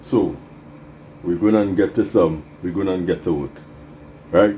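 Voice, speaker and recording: Very deep, low male speech at a fairly slow speed. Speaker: bonsai hobbyist video host. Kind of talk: casual DIY tutorial.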